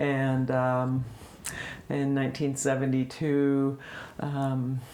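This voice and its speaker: A woman's very deep, low voice, very slow and monotone with flat intonation, plus audible room echo. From US Midwest, Illinois. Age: 70s. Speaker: interviewee, longtime town resident. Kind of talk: oral history interview. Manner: hesitant, many fillers.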